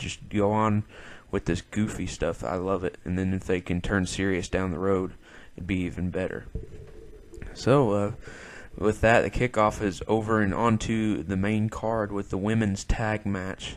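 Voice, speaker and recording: At a moderate pace, the speaker keeps a fairly even intonation over a quiet background. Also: man. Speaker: wrestling podcast host. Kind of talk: solo podcast review. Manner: casual, hesitant with fillers.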